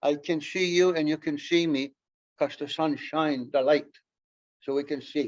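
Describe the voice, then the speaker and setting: A man with a Canadian accent at a fairly slow pace. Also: quiet background. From Mohawk Nation at Akwesasne. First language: Mohawk. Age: 70s. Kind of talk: public lecture.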